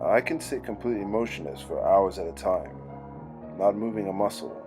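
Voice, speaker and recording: A moderate speaking pace over background music. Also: man. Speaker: creepypasta narrator. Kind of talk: horror story narration.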